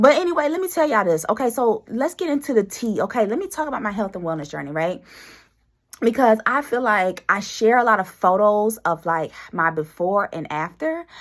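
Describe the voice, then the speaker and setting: Fairly quick delivery from a woman, her pitch swinging very widely. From US South, Greenwood, South Carolina. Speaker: podcast host. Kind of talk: casual chat. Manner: animated.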